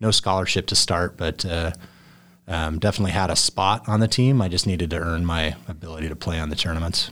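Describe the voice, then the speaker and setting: A man's very deep, low voice at a very fast pace with fairly even intonation, on a very clean recording with a silent background. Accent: American. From southern Idaho, US. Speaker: golfer. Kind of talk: interview. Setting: studio.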